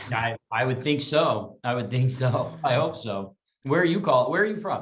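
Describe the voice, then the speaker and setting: At a moderate pace, a man with an American accent speaks at a medium pitch with lively intonation. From Texas. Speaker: voice actor. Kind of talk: interview. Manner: hesitant, with fillers.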